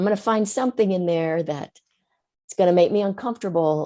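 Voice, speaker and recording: The voice moves at a fairly quick pace with a dark, mellow tone. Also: woman. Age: 60s. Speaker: writer and writing teacher. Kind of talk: podcast interview.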